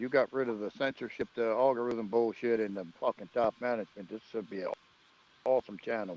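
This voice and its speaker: A man with a plain, everyday voice talks at a fairly quick pace and a medium pitch. His pitch varies in an ordinary way, and the sound is dry and close with no echo. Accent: American. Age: 40s. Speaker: live streamer. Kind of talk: casual chat.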